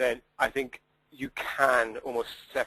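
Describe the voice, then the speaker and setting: A man speaks with a Welsh accent. The sound is dry and close, with no echo. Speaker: sustainability data consultant. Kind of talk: webinar Q&A. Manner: hesitant, many fillers.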